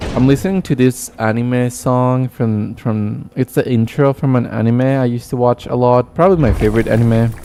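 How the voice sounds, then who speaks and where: The speaker has a Spanish accent and a dark, mellow tone, with ordinary pitch variation. The pace is moderate, with hardly any pauses. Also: man, medium pitch for a man. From Argentina. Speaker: gaming streamer. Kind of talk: live stream chat. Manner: casual, chatty.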